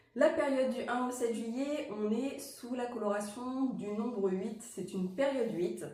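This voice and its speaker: Noticeable background noise and audible room echo accompany a fairly high-pitched woman whose pitch varies in an ordinary way. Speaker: numerologist and wild plant guide. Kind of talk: casual spiritual guidance chat. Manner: hesitant, many fillers.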